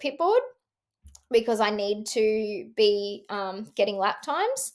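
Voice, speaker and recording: A woman's fairly high voice in an Australian accent, on a very clean recording with a silent background. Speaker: entrepreneur and former motocross racer. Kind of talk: interview conversation.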